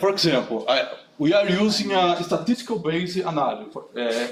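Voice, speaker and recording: This man's voice sits high in pitch, with lively intonation and a moderate pace, over noticeable background noise. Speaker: conference speaker. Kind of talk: technical talk with Q&A. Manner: halting, many fillers.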